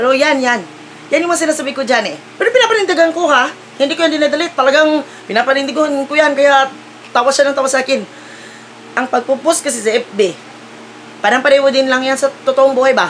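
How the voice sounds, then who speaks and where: Amid light background noise, a woman with a high pitch talks at a very fast pace broken by long, frequent pauses. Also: ordinary pitch variation. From Philippines. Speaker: vlogger. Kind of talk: casual vlog chat, opinion rant. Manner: scolding, emphatic. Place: home room. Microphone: phone near.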